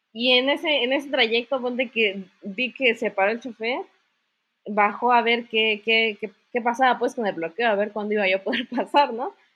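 This woman has an unremarkable speaking voice with fairly high pitch. She talks at a moderate pace with ordinary pitch variation. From Mexico, Chiapas (Comitán). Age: 20s. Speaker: university student and entrepreneur. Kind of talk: casual interview chat.

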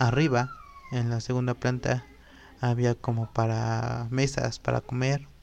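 A man talks at a fairly slow pace with very even loudness. Noticeable background noise is present. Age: 20s. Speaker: podcast host. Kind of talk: casual monologue podcast.

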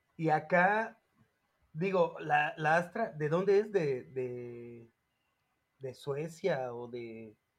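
In a Mexico City accent, a man speaks at a very slow pace and fairly high pitch, with lively intonation, long, frequent pauses and big swings in loudness. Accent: Mexico City Spanish (chilango). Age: 30s. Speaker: podcast co-host. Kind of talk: casual chat.

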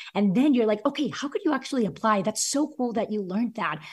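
Her intonation is lively. This woman's voice is somewhat breathy. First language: not English (English is third language). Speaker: former teacher, author and education entrepreneur. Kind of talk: interview conversation.

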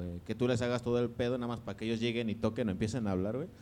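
This is a man speaking at a medium pitch. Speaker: podcast co-host. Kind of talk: casual chat.

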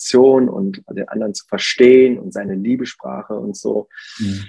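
Moderate pacing and ordinary pitch variation in a man's voice, dark and mellow in tone. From Germany. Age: 40s. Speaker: pastor. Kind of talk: casual interview.

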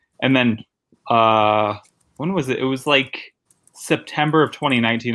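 An unremarkable speaking voice comes from a man with an American accent, medium pitch and ordinary pitch variation, at a fairly slow pace. The recording is very clean, with a silent background. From Connecticut, New Haven. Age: 30s. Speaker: stand-up comedian. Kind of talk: casual interview chat. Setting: guest bedroom at a friend's house.

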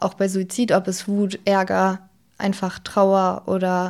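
On a very clean recording with a silent background, a woman speaks at a very slow pace in a monotone, flat intonation. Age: 20s. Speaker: former peer counselor sharing suicide loss. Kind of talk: personal testimony in interview. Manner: halting, many fillers.

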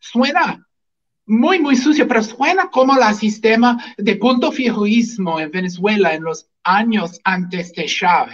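Speaking very slowly, a man with an English accent uses a high pitch and lively intonation. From US, Washington state. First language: English (speaking Spanish). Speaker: physician and libertarian activist. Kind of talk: political talk show interview. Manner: halting, repeats words.

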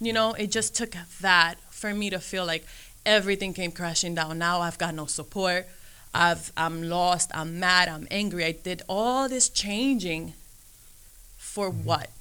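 This woman's voice sits at a fairly low pitch and has a bright, sharp tone with ordinary pitch variation. The recording is very clean and the background is silent. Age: 30s. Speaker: guest sharing her story of leaving the faith. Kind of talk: testimony.

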